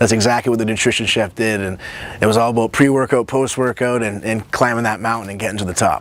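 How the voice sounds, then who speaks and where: Over noticeable background noise, a man at medium pitch talks at a very fast pace. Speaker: nutritionist and show host. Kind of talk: personal introduction to camera. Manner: animated.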